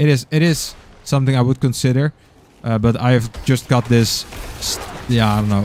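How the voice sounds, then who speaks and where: A man with a Dutch accent speaks at a medium pitch and a moderate pace, his intonation fairly even, against noticeable background noise. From Netherlands. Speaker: gaming streamer. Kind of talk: live gameplay stream commentary. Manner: halting, many fillers.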